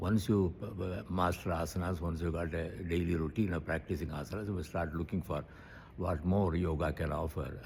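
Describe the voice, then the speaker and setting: A man with a very deep, low pitch and a somewhat breathy voice speaks at a moderate pace with fairly even intonation. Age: 80s+. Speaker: yoga teacher. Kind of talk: interview answer.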